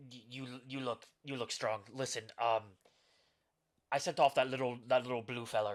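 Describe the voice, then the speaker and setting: A man puts on a character voice that is raspy and gruff, medium in pitch, with fairly even intonation. He keeps a moderate pace broken by long, frequent pauses. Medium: actual play. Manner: gruff, barking.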